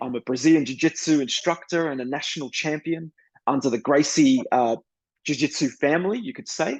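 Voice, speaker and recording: A man's fairly high, fairly quick voice with ordinary pitch variation and big swings in loudness, in a dry, close sound with no echo against a quiet background. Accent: Australian. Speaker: author and screenwriter. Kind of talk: interview conversation.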